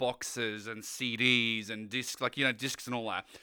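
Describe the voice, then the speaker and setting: A man speaks with an Australian accent and a bright, sharp tone. The recording is very clean, with a silent background. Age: young. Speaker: community lead and streamer. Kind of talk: casual chat.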